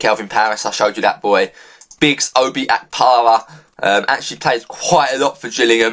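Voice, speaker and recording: Over noticeable background noise, a man with a medium-pitched voice talks at a very fast pace. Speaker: gaming youtuber. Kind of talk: game commentary.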